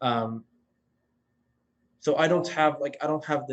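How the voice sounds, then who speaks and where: The speaker is a man with a Swedish accent. His intonation is fairly even. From Finland, Swedish-speaking Finn. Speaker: former intern, startup founder. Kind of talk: casual chat.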